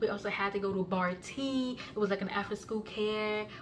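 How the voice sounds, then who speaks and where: Here a woman talks at a medium pitch and a moderate pace. There is noticeable background noise. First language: non-English (Kenyan language). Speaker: YouTuber sharing life story. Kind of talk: personal testimony. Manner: halting, many fillers and restarts.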